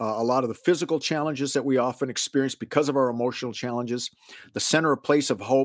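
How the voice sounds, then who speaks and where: A man with an American accent has an ordinary speaking voice, fairly high in pitch, at a fairly quick pace. The sound is dry and close, with no echo. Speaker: podcast host. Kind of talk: casual interview answering listener questions. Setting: video call.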